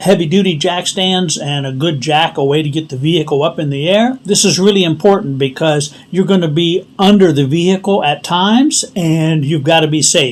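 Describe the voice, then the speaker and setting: A man's high-pitched voice is heard against noticeable background noise. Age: 60s. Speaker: DIY tutorial channel host. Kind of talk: tutorial. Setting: outdoors in driveway.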